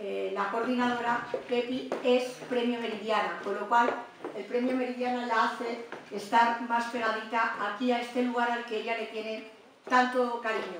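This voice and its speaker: Strong room echo surrounds a woman speaking at a moderate pace with flat, monotone intonation over light background noise. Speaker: host introducing the guest lecturer. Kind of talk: formal introduction speech. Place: meeting room.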